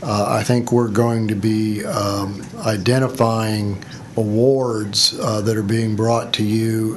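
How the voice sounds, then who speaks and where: The delivery is very slow, with monotone, flat intonation. Noticeable background noise and audible room echo fill the recording. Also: man. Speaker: agency staff official. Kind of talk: committee meeting. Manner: slow, halting.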